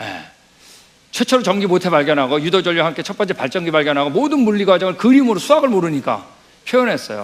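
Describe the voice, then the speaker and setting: Very fast and high-pitched, a man's voice makes very wide pitch swings. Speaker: missionary lecturer. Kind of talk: lecture.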